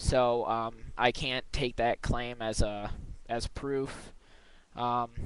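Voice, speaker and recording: A man mumbles at a very slow pace. His medium-pitched voice stays monotone and flat. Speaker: video blogger responding to another video. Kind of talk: video response, casual argument. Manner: halting, stuttering; mumbling.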